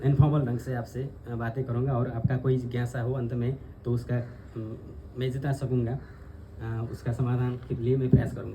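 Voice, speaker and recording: Somewhat breathy with a dark, mellow tone, a man of medium pitch speaks in a flat monotone. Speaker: spiritual teacher/tantra scholar. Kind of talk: informal talk to audience. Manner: halting.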